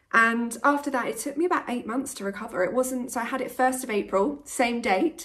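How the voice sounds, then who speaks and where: A woman with a British accent talks at a moderate pace with ordinary pitch variation. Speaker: vlogger. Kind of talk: vlog.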